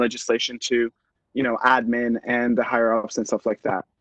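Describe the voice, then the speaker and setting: A man with a non-native accent is heard in a dry, close sound with no echo. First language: not English. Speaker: student government officer. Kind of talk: meeting presentation.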